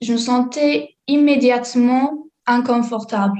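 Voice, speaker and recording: Speaking very slowly, a woman with an English accent has a high pitch. Her pitch variation is ordinary. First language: English (speaking French). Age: 20s. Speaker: student. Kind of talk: testimony. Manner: halting.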